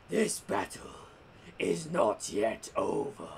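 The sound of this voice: A man's put-on character voice, very slow, over clear background noise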